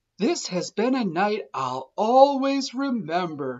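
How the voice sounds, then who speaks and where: In a put-on character voice, fairly high in pitch, the speaker moves at a fairly slow pace with very wide pitch swings. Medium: read story.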